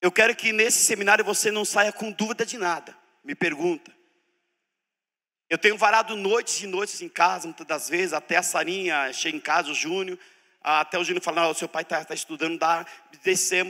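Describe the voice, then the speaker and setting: Bright and sharp in tone, a man speaks at a fairly quick pace with a high pitch and ordinary pitch variation. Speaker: preacher teaching a church seminar. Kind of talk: sermon-style teaching seminar. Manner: animated.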